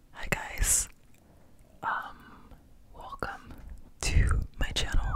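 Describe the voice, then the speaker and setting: A man whispers at a very slow pace with long, frequent pauses. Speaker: ASMR creator. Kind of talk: ASMR chit chat. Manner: whispered. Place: home room. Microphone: studio mic.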